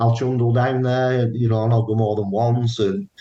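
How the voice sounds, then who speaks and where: A man's dark, mellow tone at a fairly quick pace. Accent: northern English. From northern England, Burnley, Lancashire. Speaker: paranormal investigator. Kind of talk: interview. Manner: casual, repetitive false starts.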